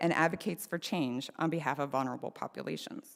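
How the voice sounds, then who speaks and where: A woman with vocal fry talks at a fairly quick pace on a very clean recording with a silent background. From small-town Canada. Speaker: social work professor, lay preacher. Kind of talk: sermon. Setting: church meeting house, live streamed.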